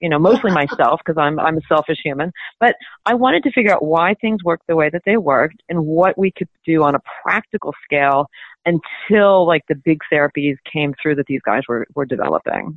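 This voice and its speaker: Using a plain, everyday voice, a woman speaks at a fairly quick pace with lively intonation and a fairly low pitch. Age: 50s. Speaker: physician and anti-aging author. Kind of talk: interview.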